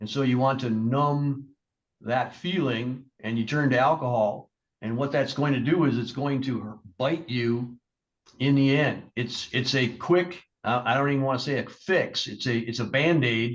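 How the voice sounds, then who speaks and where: Speaking at a medium pitch, a man keeps a fairly slow pace and fairly even intonation. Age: 60s. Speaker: judge. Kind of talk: courtroom sentencing. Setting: courtroom. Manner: measured, with frequent hesitations.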